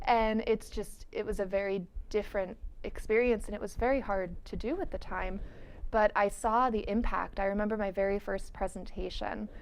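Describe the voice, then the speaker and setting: A woman's ordinary speaking voice, fairly high in pitch, at a moderate pace with fairly even intonation. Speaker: internet safety speaker. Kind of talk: interview.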